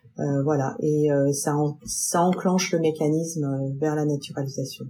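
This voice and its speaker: A woman is talking. Her voice is somewhat breathy. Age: 50s. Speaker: French expatriate in the US. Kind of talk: testimony.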